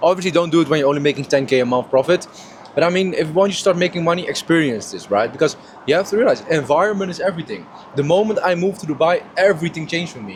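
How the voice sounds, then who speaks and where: With noticeable background noise, a man talks at a very fast pace in a high pitch, using ordinary pitch variation. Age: 20s. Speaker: online entrepreneur vlogger. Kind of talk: casual vlog talk to camera. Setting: first class airplane cabin. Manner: loud.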